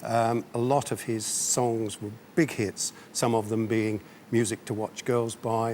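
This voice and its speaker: Through noticeable background noise, a man speaks at medium pitch with monotone, flat intonation. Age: 60s. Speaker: amateur singer and stage performer. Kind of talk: TV interview.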